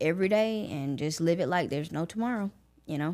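In a very clean recording with a silent background, a woman speaks in a fairly low voice with ordinary pitch variation. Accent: Southern US. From US South, Augusta, Georgia. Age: 20s. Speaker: podcast host and college student. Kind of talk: personal storytelling monologue.

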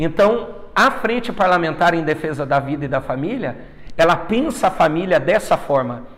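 A man talks at a fairly slow pace with lively intonation. Noticeable background noise sits behind him. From Brazil, northern Paraná. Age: 30s. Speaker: politician. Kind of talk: interview.

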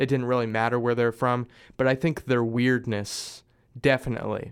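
Here a man with an American accent has a normal speaking voice at a medium pitch and a moderate pace. The recording is very clean, with a silent background. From US Midwest (Springfield, Missouri). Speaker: musician. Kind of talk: casual chat.

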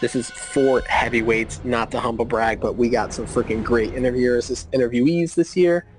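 With music playing behind him, a man delivers his lines in a deadpan tone at a medium pitch, with hardly any pauses. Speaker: podcast co-host. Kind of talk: casual sports podcast banter. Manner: sarcastic, deadpan, rapid-fire riffing.

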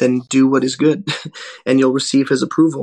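A man talks with monotone, flat intonation at a moderate pace. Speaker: bible teacher. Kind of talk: bible teaching, reading scripture aloud.

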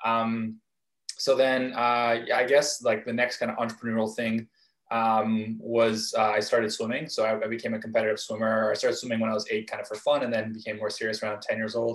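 With a Canadian accent, a man talks at a fairly quick pace in a monotone, flat delivery. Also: medium pitch for a man. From Vancouver, Canada. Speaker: startup founder. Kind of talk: interview.

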